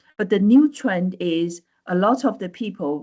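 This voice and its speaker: A woman's medium-pitched voice with a Chinese accent. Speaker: AI lecturer. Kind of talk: webinar presentation. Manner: halting, many fillers and repetitions.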